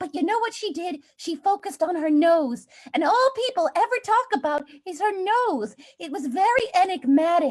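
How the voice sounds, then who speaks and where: A woman puts on a squeaky character voice. She moves at a moderate pace with very wide pitch swings. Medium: game stream. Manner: confidently rambling.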